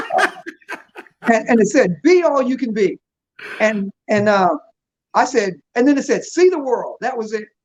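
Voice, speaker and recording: With an American accent, a man speaks at an extremely high pitch and moderate pace, his tone animated and his intonation lively, broken by long, frequent pauses. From US South, Virginia (Newport News). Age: 60s. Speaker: businessman. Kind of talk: casual chat.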